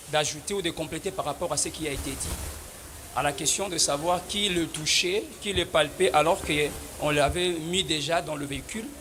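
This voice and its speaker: A man speaks with fairly even intonation while room echo and noticeable background noise are both audible. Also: fairly high pitch for a man, moderate pace. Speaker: lawyer. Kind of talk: courtroom pleading. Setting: courtroom. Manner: formal.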